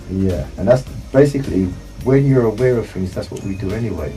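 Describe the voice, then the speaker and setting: With music in the background, the speaker talks at a fairly quick pace with lively intonation. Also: man. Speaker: author, public speaker, founder of a speakers club. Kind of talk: live radio interview answer, explanatory talk. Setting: radio studio.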